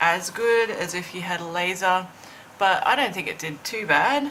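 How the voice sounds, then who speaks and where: With noticeable background noise behind her, a woman talks at a fairly slow pace with a fairly low pitch and ordinary pitch variation. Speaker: planning and lifestyle vlogger. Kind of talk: tutorial. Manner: hesitant, many fillers.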